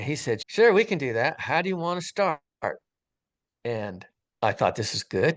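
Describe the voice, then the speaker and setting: A man talks at a fairly slow pace with very wide pitch swings. The sound is dry and close with no echo, over a quiet background. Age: 60s. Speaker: retired firefighter sharing a near-death experience. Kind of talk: testimony. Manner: casual, conversational.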